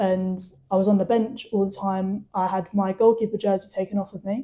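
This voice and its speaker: A woman speaks with a southern English accent at a medium pitch. Her tone is dark and mellow, and her intonation is flat and monotone. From England. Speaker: footballer. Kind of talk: testimony.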